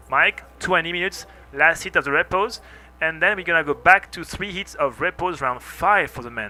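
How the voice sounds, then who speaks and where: Over music in the background, a man with a French accent speaks at a high pitch and moderate pace, with ordinary pitch variation and big swings in loudness. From France. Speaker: surf contest commentator. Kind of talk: live commentary. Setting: commentary booth.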